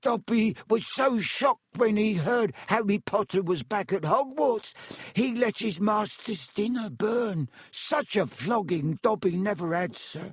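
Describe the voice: A man puts on a character voice, high-pitched with a slightly husky edge and lively intonation, speaking at a fairly slow pace in a dry, close sound with no echo.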